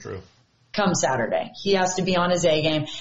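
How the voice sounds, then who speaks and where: Medium pitch and moderate pace from a woman, with noticeable background noise. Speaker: TV sports reporter. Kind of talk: casual chat.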